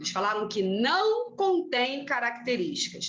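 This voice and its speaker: In a room with audible echo, a woman speaks at a fairly slow pace with a high pitch and a bright, sharp tone. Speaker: teacher. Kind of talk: lecture. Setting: classroom, recorded class.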